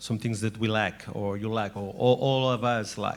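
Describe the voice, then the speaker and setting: Here a man speaks with a Catalan accent. His pitch is medium, with ordinary variation. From Catalonia. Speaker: former mayor, network representative. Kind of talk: panel speech. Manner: halting.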